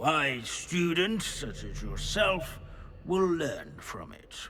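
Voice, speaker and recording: A put-on character voice at a very slow pace, over clear background noise. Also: man, high pitch for a man. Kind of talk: scholarly lecture. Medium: video game. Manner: dry, lecturing.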